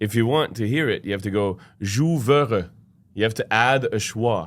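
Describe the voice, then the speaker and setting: Recorded very cleanly over a silent background, a man speaks with a Quebec accent. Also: medium pitch for a man, ordinary pitch variation, moderate pace. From Quebec, Montreal. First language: French. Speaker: opera singer. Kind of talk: casual chat. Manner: animated.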